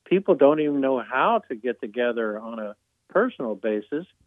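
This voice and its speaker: A man speaks at a medium pitch and a moderate pace. His intonation is lively, in a plain, everyday voice. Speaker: author and retired judge. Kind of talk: interview.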